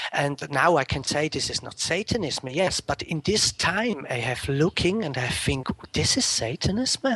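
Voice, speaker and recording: A man with a Swiss German accent, fairly high in pitch, at a moderate pace with hardly any pauses and lively intonation, in a dry, close sound with no echo and noticeable background noise. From Switzerland, Zurich area. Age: 30s. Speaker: interview guest. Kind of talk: interview. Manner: halting.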